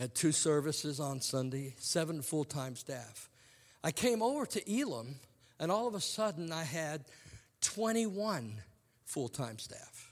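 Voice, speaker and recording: The voice moves at a fairly slow pace with very wide pitch swings, on a very clean recording with a silent background. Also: man, fairly high pitch for a man. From England, moved to Hampton, Virginia at ten. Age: 50s. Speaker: preacher, ministry president. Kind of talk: sermon. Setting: chapel service with student audience.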